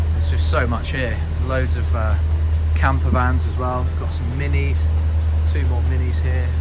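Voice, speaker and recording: Music plays in the background while the voice proceeds at a moderate pace. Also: man. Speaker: car vlogger. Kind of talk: casual walkthrough commentary. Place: garage. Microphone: phone near.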